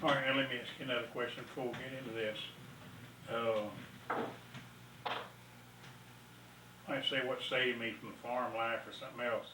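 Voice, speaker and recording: A man with an American accent speaks at a moderate pace and medium pitch, in a flat monotone. Long, frequent pauses break up his speech amid noticeable background noise. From East Texas. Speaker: retired farmer. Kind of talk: oral history interview answer. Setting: at home, VHS recording.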